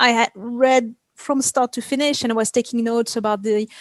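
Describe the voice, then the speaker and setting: A woman with a French accent speaks in a fairly high voice, recorded with a dry, close sound and no echo. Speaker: video game effects artist. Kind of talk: interview. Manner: halting.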